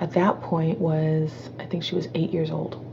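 There's noticeable background noise as a woman speaks at a moderate pace. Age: 40s. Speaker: entrepreneur and speaker. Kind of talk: interview testimony. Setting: call.

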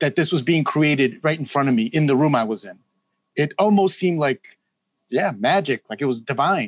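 A man's normal speaking voice, fairly high in pitch, with lively intonation, a fairly quick pace and a dry, close sound with no echo. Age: 50s. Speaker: musician. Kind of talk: casual chat.

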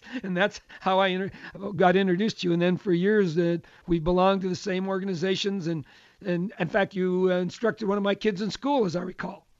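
This man talks very fast, with high pitch and fairly even intonation. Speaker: radio host and business executive. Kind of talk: radio interview. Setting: radio studio.

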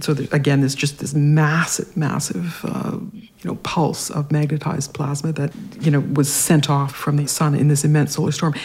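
A woman with a Canadian accent and a very deep, low pitch, at a moderate pace with hardly any pauses, fairly even intonation and noticeable background noise. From Canada, Regina, Saskatchewan. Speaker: science writer. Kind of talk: interview.

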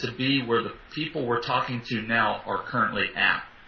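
Noticeable background noise sits behind this recording. A man with an American accent speaks at medium pitch and a fairly quick pace. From US, western Pennsylvania (Pittsburgh area). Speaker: public speaker trainer. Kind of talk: casual interview. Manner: animated.

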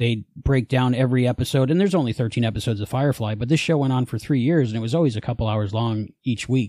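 Speaking at a very fast pace with hardly any pauses, a man delivers a dark, mellow, medium-pitched voice with a slight New Jersey accent. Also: ordinary pitch variation. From New Jersey, then Florida. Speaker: podcast creator, fan. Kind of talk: casual interview chat.

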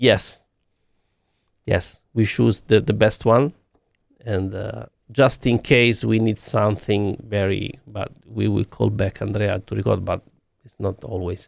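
Speaking in an Italian accent, a man uses a fairly low pitch with vocal fry, fairly even intonation and a fairly slow pace, with long, frequent pauses in a dry, close sound with no echo. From Italy. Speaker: music producer and sound engineer. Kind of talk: interview. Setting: video call from studio. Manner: halting.

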